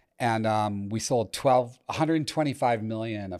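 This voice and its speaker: An ordinary speaking voice from a man with an American accent, at a moderate pace with ordinary pitch variation, on a very clean recording with a silent background. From Massachusetts, near Boston (Chelmsford). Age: 60s. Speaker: marketing entrepreneur. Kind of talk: interview.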